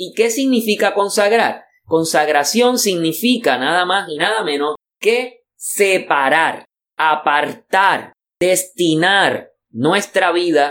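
With very wide pitch swings, a man speaks at a very slow pace and a high pitch. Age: 40s. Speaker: pastor. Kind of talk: bible teaching class.

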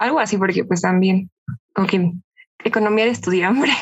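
A woman talks with a Mexican accent. Her pitch is medium and varies in an ordinary way. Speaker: podcast guest. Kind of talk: casual chat.

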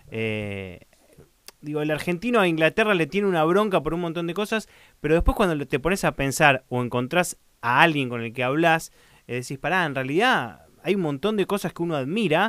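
In an unremarkable speaking voice, a man with a fairly high pitch and lively intonation talks at a fairly quick pace on a very clean recording with a silent background. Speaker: podcast host. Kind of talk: interview.

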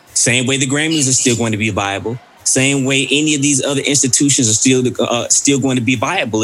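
Fairly quick, hardly paused speech in an American accent, fairly even in intonation, with music in the background. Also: man. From Mississippi, US South. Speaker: podcast host. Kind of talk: casual chat.

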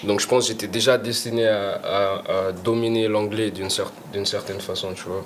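A man with a fairly low pitch talks at a moderate pace. Noticeable background noise runs behind him. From Portugal. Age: 20s. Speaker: rapper. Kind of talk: casual chat. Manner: halting.

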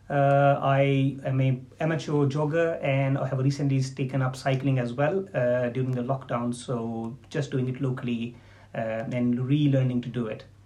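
Monotone, flat intonation from a man at a medium pitch, with noticeable background noise. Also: moderate pace. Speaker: diabetes consultant doctor. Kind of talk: casual interview.

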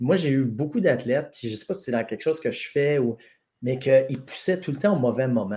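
A man talks at a fairly quick pace in a somewhat breathy voice. His tone is dark and mellow, with ordinary pitch variation. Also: medium pitch for a man. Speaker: strength coach. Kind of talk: casual chat.

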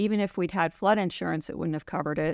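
A woman with an American accent talks in an ordinary speaking voice, fairly low in pitch with ordinary pitch variation. The sound is dry and close with no echo, on a very clean recording with a silent background. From New York City suburbs. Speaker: physician assistant. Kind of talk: interview.

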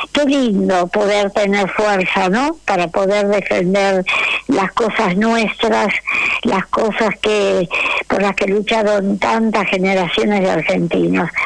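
Over noticeable background noise, a woman talks at a very slow pace with ordinary pitch variation. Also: medium pitch for a woman. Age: 80s+. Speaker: human rights activist, mother of disappeared. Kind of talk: radio interview.

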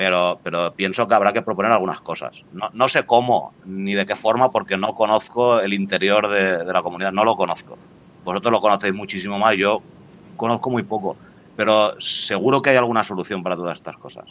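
Moving at a fairly quick pace, a man has an ordinary speaking voice, pitched fairly low with fairly even intonation. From Spain, Valencia. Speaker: cryptocurrency enthusiast. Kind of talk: casual chat.

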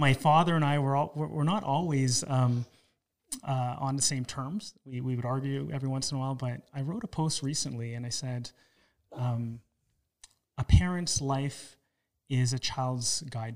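A man with a Canadian accent, medium pitch and an ordinary speaking voice, at a moderate pace with ordinary pitch variation. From Toronto, Canada. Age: 40s. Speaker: podcast host. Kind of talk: interview.

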